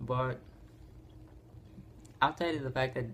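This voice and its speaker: A man's somewhat breathy voice at a medium pitch. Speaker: YouTuber presenting dragon lore. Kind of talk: casual video monologue. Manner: halting, repeats words.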